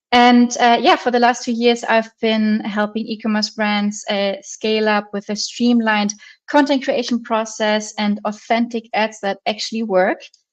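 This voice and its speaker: With a German accent, a woman speaks at a moderate pace with hardly any pauses, a fairly high pitch and fairly even intonation over a quiet background. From Germany. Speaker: marketing agency founder. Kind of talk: webinar presentation. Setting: online webinar with screen sharing.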